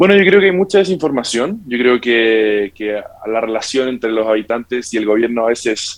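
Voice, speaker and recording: A man with a medium-pitched voice talks fairly quickly. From Santiago, Chile. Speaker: tax tech company representative. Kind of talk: interview.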